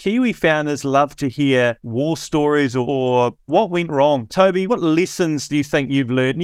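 A man with a New Zealand accent speaks at a moderate pace and a fairly high pitch. The recording is very clean and the background silent. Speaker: podcast host. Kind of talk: casual interview chat.

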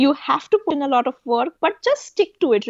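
Moderate-paced speech from a woman. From India. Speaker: electrical engineer. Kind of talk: interview.

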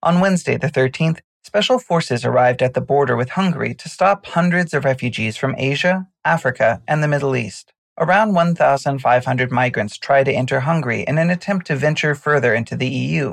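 Fairly quick, somewhat breathy speech with hardly any pauses and ordinary pitch variation over a quiet background. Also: man, fairly high pitch for a man. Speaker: news podcast presenter. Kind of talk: formal newsreading, scripted news update. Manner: formal; even, measured, neutral delivery.

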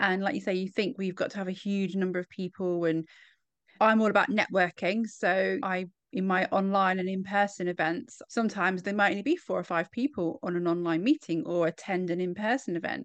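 A woman with a British accent speaks at a fairly quick pace. The sound is dry and close with no echo, over a quiet background. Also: medium pitch for a woman, ordinary pitch variation. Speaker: podcast host. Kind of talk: casual interview chat.

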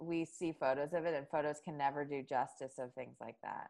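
A woman at a fairly quick pace. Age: 40s. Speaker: marketing and PR agency founder. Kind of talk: casual chat.

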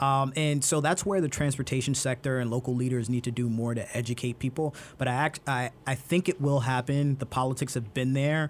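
A man with a New York accent talks at a fairly quick pace with hardly any pauses. His loudness stays very even. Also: medium pitch for a man, fairly even intonation. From Brooklyn, New York. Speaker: transportation expert. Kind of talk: interview.

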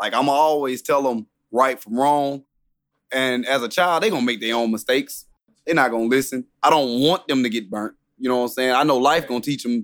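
An ordinary speaking voice from a man with an American accent, at a fairly quick pace with ordinary pitch variation, in a very clean recording with a silent background. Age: 30s. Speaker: guest, father. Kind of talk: casual conversation.

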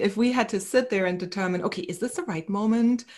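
A woman's normal speaking voice, medium in pitch with ordinary pitch variation, at a fairly quick pace on a very clean recording with a silent background. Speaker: psychotherapist. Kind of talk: casual interview.

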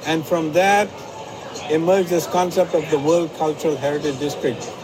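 Against noticeable background noise, a man speaks in a fairly high pitch at a moderate pace with ordinary pitch variation. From outside the US. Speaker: economics professor. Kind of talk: live interview. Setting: live at a booth at a state fair.

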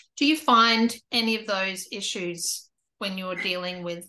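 Speaking at a fairly slow pace with an Australian accent, a woman has a fairly high pitch, a bright, sharp tone and ordinary pitch variation, heard against a quiet background. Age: 50s. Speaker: YouTube interviewer. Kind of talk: interview.

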